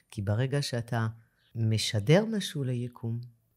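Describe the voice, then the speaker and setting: In a very clean recording with a silent background, a woman speaks at a fairly slow pace in a somewhat breathy, very deep, low voice with ordinary pitch variation. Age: 50s. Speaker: dentist. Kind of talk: interview conversation.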